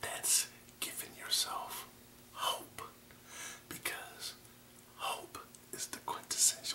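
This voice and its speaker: A man whispers in a calm tone at a very slow pace, leaving long, frequent pauses. Noticeable background noise runs underneath. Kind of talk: ASMR affirmation talk to camera. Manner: soft, calm, encouraging.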